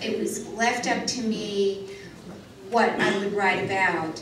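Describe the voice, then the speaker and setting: The recording has light background noise and audible room echo. A woman talks at a fairly slow pace. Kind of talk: lecture. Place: hall.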